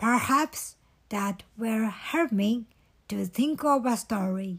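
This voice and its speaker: A put-on, female-sounding character voice, fairly high in pitch and very slow, in a very clean recording with a silent background. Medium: read story. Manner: earnest.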